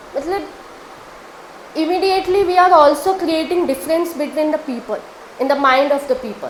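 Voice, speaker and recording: Fairly quick speech with an Indian accent, ordinary pitch variation, long and frequent pauses, and noticeable background noise. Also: woman, high pitch for a woman. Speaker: law student. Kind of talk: answer to audience question on stage. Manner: hesitant, with fillers.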